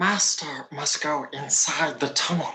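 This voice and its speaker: At a fairly slow pace, someone speaks in a put-on character voice with a middle pitch. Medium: audio drama. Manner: servile, sly.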